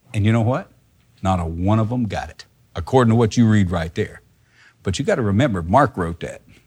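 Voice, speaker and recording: At a fairly quick pace despite long, frequent pauses, a man with a fairly low pitch speaks in a somewhat breathy voice with ordinary pitch variation and big swings in loudness. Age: 50s. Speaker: Bible teacher. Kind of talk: sermon.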